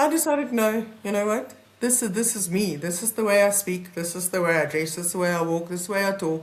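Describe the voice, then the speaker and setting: A woman with a South African accent talks very fast, with hardly any pauses. Audible room echo surrounds her voice. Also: medium pitch for a woman, lively intonation. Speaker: advocate, mediator and keynote speaker. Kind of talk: podcast interview.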